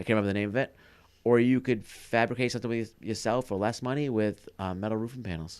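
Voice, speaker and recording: A man with a strong Maine accent, medium pitch and fairly even intonation, at a very fast pace. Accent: thick Maine. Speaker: podcast co-host, cabin builder. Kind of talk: casual chat. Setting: studio.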